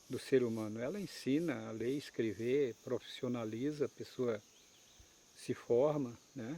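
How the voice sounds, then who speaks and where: At a fairly slow pace, a man speaks at a medium pitch in a dark, mellow tone with fairly even intonation. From Brazil, Acre (Amazon rubber-tapping region). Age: 70s. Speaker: rubber tapper community leader. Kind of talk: interview testimony.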